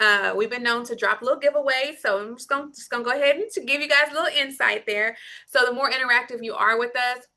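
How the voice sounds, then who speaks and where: In a slight Southern US accent, a woman projects a raised, high-pitched voice with a bright, sharp, animated tone. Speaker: lactation consultant. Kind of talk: live Q&A session.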